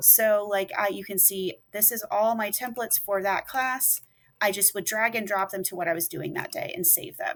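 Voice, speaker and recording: A woman's fairly high-pitched voice moves along at a moderate pace. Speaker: middle and high school teacher. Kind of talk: tutorial. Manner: loud; casual, conversational.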